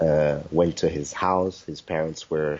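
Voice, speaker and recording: The delivery is fairly slow and monotone, with flat intonation. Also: man. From South Africa (born in Congo). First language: French. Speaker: kizomba dancer. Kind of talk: interview. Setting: video interview. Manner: halting, many fillers.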